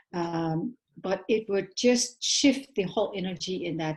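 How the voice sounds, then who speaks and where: The voice is somewhat breathy, with lively intonation at a very slow pace. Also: woman. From Netherlands. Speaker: documentary filmmaker. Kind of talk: panel talk. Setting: live stream. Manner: halting.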